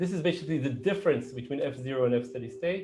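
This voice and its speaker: A man's voice with ordinary pitch variation. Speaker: professor. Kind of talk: lecture. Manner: fast.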